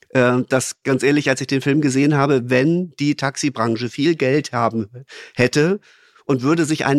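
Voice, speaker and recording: With a normal speaking voice, a man talks at medium pitch with ordinary pitch variation, captured in a very clean recording with a silent background and a dry, close sound with no echo. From Lower Saxony, Germany (Braunschweig). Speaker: podcast guest, business manager. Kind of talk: casual chat.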